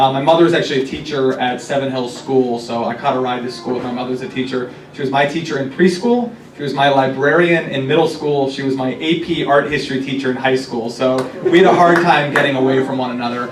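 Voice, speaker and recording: With an American accent, a man talks very fast in fairly even intonation, with audible room echo and noticeable background noise. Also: medium pitch for a man. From US Midwest, Cincinnati, Ohio. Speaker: city council member. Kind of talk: talk to a political group.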